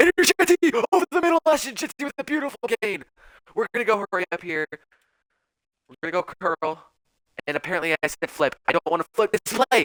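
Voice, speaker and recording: An animated man with a high pitch talks at a very fast pace, his pitch swinging very widely and his loudness rising and falling sharply. Long pauses come often, and the sound is dry and close with no echo. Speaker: video game streamer. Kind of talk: gameplay commentary.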